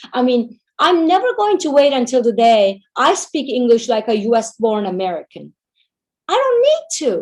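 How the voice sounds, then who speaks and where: With a Turkish accent, a woman talks in a high voice at a moderate pace. Her pitch swings very widely. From Turkey, Istanbul. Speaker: Turkish language teacher. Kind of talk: webinar Q&A answer.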